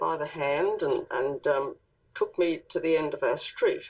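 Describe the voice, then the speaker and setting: Speaking fairly slowly, a woman talks in an Australian accent. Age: 60s. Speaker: author and contactee. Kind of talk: interview.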